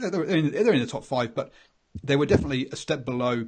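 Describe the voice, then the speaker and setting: Somewhat breathy, a man with an English accent talks at a very fast pace. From England. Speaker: rugby podcast host. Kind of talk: casual chat. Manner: halting.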